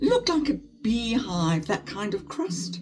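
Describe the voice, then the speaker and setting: A woman's voice with music in the background. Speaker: beauty vlogger, former flight attendant. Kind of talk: casual chat while doing makeup. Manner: chatty, animated.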